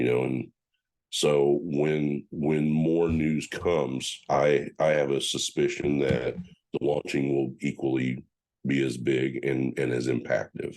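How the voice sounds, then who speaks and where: A man's very deep, low voice with monotone, flat intonation, very even loudness and a very slow pace. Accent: American. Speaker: powerlifting federation official. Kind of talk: podcast interview. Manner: halting, many repetitions and fillers.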